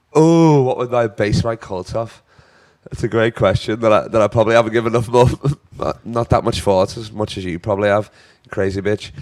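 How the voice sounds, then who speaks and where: A man with a Liverpool accent, animated in tone, at a medium pitch with ordinary pitch variation and a fairly quick pace. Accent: Scouse. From northern England, Liverpool. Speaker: comedian. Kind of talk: casual chat.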